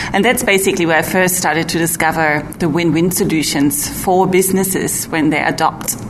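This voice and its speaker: Over noticeable background noise and audible room echo, a woman with fairly low pitch and ordinary pitch variation talks at a fairly quick pace with very even loudness and hardly any pauses. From Germany. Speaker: energy efficiency researcher. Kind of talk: interview.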